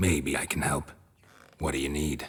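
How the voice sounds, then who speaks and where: Using a put-on character voice, a man speaks at a moderate pace. His pitch is very deep and low, and the sound is raspy. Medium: video game. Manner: terse, deadpan.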